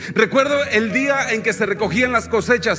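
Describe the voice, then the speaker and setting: A man speaks in a raised, projected voice with an animated tone, at a moderate pace with ordinary pitch variation. Noticeable background noise is present. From Mexico, Oaxaca highlands. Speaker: visiting pastor. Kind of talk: sermon. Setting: church.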